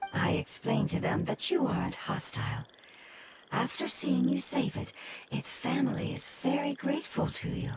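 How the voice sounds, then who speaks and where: Someone uses a put-on character voice at a moderate pace. Loud background noise fills the recording. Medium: video game. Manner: polite, measured.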